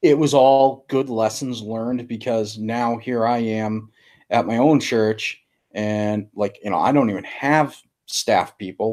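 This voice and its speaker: A man's fairly slow speech moves through an ordinary range of pitch. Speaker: pastor, podcast host. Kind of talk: casual interview. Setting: video call.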